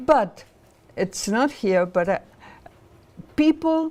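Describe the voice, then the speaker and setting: A woman with a Spanish accent speaks at a very slow pace. Her tone is dark and mellow, and her pitch swings very widely. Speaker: professor and political activist. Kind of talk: lecture. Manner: halting, many fillers.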